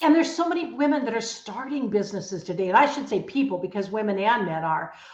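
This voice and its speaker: Over noticeable background noise and audible room echo, a woman speaks very fast at a fairly high pitch with very wide pitch swings. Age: 80s+. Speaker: author and entrepreneur. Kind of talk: radio interview. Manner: energetic.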